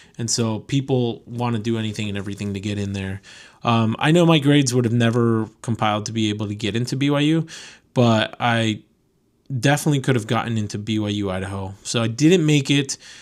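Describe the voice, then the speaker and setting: This man has a plain, everyday voice at a medium pitch with ordinary pitch variation. He speaks at a fairly quick pace in a very clean recording with a silent background. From Connecticut, US (from age 7, born in Venezuela). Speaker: podcast host, car import business owner. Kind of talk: casual monologue. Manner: casual, many fillers.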